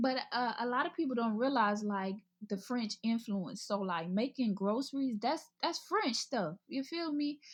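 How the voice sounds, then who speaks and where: With an American accent and lively intonation, a woman speaks in a high pitch at a fairly slow pace, with hardly any pauses. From US South, Mobile, Alabama. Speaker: model and college student. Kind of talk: casual interview chat.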